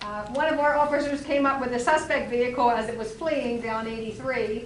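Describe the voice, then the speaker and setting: A loud woman's voice, high-pitched and fairly quick, with fairly even intonation, audible room echo and noticeable background noise. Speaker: borough council member. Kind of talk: council meeting report.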